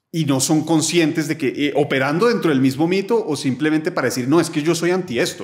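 A man's fairly high-pitched voice with lively intonation at a moderate pace, against a quiet background. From Colombia, Bogotá. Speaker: philosopher; podcast guest. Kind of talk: casual interview conversation. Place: home room. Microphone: studio mic.

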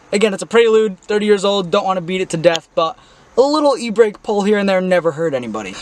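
A high-pitched man's voice with ordinary pitch variation in a dry sound with no echo. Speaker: car vlogger. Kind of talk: casual vlog chat. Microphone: phone near.

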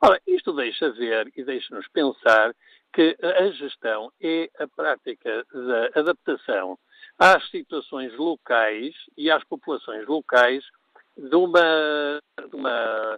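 The recording of this man has a quiet background. The sound is dry, with no echo. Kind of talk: radio call-in commentary.

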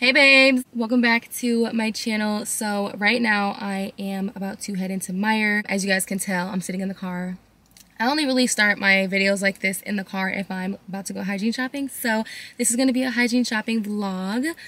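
A woman's fairly quick speech with fairly even intonation in a dry sound with no echo. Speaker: lifestyle vlogger. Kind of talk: casual vlog chat. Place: car.

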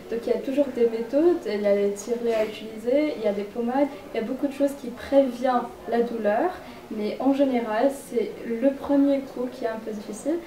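A woman with a high pitch and ordinary variation speaks at a moderate pace, with audible room echo and light background noise. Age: 20s. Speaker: medical student giving a talk; interviewee. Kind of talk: public presentation and interview. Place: home room. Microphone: camera far.

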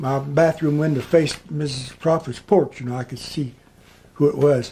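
A man with a fairly high voice and a dark, mellow tone speaks at a moderate pace, somewhat breathy. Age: 80s+. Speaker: oral history interviewee. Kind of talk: interview answer. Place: home room. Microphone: camera far.

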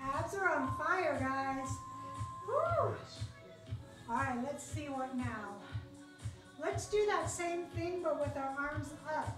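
Amid audible room echo and clear music in the background, a woman speaks at a very slow pace with long, frequent pauses. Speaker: fitness instructor. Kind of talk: workout instruction. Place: gym. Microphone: camera far.

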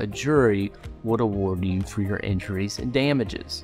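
A man talks at a moderate pace with a fairly low pitch and ordinary pitch variation. Faint music plays in the background. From Kentucky. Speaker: personal injury lawyer. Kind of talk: scripted explainer. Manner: formal. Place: office.

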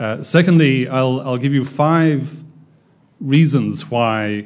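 Ordinary pitch variation from a male speaker. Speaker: development bank economist. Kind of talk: seminar presentation. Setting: stage with audience. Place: meeting room. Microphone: podium.

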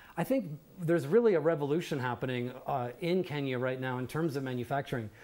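A man speaks at a moderate pace. His fairly high pitch shows ordinary variation. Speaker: company CEO; guest. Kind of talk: TV panel discussion. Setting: TV studio. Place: studio.

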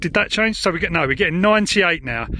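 The man's voice has a bright, sharp tone and a dry sound with no echo. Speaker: radio hobbyist. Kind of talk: tutorial commentary. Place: open country.

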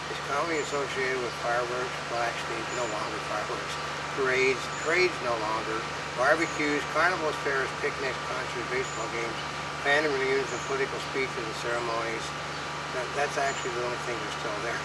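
Loud background noise runs through the clip. A man talks at a fairly quick pace. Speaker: co-host of a web news show. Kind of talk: casual talk-show commentary. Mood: wry, joking. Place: garden. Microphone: camera far.

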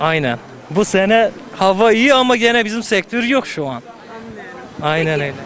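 Speaking at a moderate pace with long, frequent pauses, a man with a high pitch and very wide pitch swings comes through a dry recording with no echo and light background noise. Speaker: passerby; interviewee. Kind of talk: street interview. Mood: complaining about work conditions. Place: street.

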